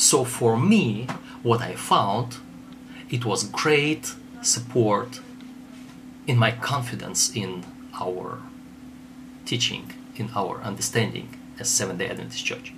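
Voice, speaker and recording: Over music in the background, a man with a Russian accent speaks at a very slow pace, leaving long, frequent pauses. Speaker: theologian. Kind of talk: lecture. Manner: halting.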